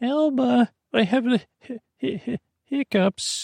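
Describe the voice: A man uses a put-on character voice at an extremely high pitch, with ordinary pitch variation, a slightly mellow tone and vocal fry. He speaks at a slow pace, and the sound is dry and close with no echo.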